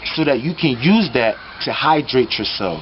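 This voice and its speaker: Noticeable background noise behind a man speaking at a moderate pace in a fairly high voice. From United States. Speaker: spiritual teacher, vlogger. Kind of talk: vlog monologue. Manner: quiet; animated.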